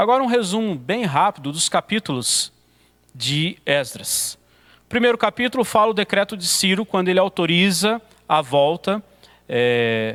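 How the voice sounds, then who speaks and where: The speaker goes at a fairly slow pace with very wide pitch swings. The sound is dry and close, with no echo. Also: man, high pitch for a man. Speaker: pastor teaching a theology course. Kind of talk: lecture. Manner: occasional stumbles and fillers.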